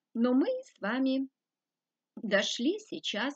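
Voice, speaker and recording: A woman speaks very slowly in a somewhat breathy voice, the sound dry with no echo against a quiet background. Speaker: spiritual teacher. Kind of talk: lecture. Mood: calm, earnest. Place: home room. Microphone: webcam.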